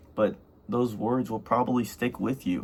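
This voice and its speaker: At a moderate pace and medium pitch, a man speaks in an ordinary speaking voice with ordinary pitch variation. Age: 20s. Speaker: youth trading vlogger. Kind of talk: casual monologue vlog. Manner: rambling, filler-heavy.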